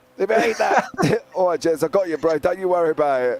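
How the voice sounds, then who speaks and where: A man with an English accent talks at a fairly quick pace. His pitch swings very widely over noticeable background noise. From England. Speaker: sim racing commentator. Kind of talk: live commentary. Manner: animated.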